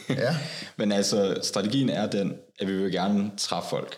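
A man speaks at a fairly slow pace in a fairly low voice with ordinary pitch variation, over noticeable background noise. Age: 20s. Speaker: Jehovah's Witness, security worker. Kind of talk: casual interview.

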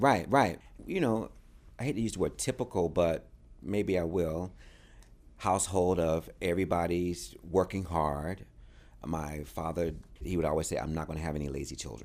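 A man with an American accent and a very deep, low pitch talks at a moderate pace with lively intonation, vocal fry and long, frequent pauses in a very clean recording with a silent background. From North Carolina, US South. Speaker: dancer and choreographer. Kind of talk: interview. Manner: animated.

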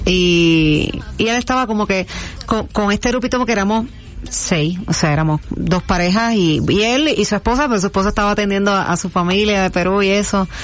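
With music in the background, a woman talks at a fairly quick pace, keeping her loudness very even and her pitch variation ordinary. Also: medium pitch for a woman. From Puerto Rico, Toa Baja. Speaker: singer-songwriter. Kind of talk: casual interview.

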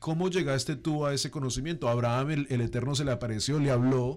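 Speaking in a normal speaking voice, a man keeps a medium pitch and fairly even intonation. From Colombia. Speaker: interview host. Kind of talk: interview. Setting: studio.

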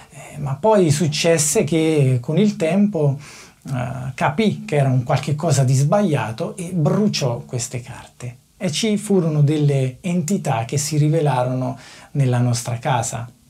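A man speaks fairly slowly, his pitch fairly high with ordinary variation. Noticeable background noise is present. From Naples, southern Italy. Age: 30s. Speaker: factory worker. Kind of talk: testimony.

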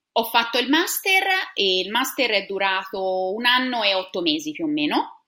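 This woman has a Tuscan accent and a medium pitch. She talks at a moderate pace with lively intonation. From Tuscany, Italy (Siena). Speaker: science teacher. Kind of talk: interview.

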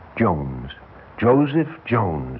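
A man uses a put-on character voice, low-pitched with big pitch swings, speaking at a very slow pace amid audible room echo.

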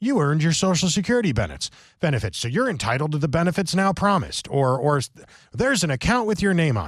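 In an American accent, the speaker talks very fast, somewhat breathy, with very wide pitch swings. The background is quiet. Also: man. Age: 40s. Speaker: political talk radio host. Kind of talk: political talk radio monologue.

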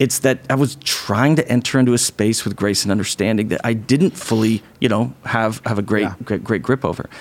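Here is a man with a plain, everyday voice at medium pitch. He moves at a fairly quick pace with ordinary pitch variation. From small-town Idaho. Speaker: pastor and podcast co-host. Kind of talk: casual chat.

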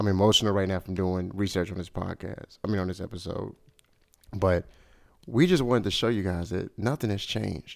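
With a normal speaking voice, a man talks fairly quickly at a fairly low pitch and with fairly even intonation. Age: 30s. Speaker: podcast host. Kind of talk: casual chat.

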